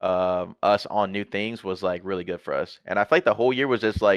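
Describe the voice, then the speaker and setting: A man talks at a fairly quick pace in a fairly low pitch, with ordinary pitch variation. The sound is dry and close with no echo, over a quiet background. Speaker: esports pro player. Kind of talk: casual chat. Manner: fast.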